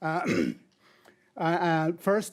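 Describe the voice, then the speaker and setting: Speaking at a fairly slow pace, a man with a high pitch and a Caribbean accent is heard on a very clean recording with a silent background. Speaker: former university administrator. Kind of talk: ceremony speech.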